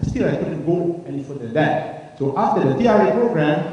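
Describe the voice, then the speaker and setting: A man talks with very wide pitch swings. Noticeable background noise can be heard behind him. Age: 60s. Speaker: retiree giving a product testimonial. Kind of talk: testimony. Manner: halting.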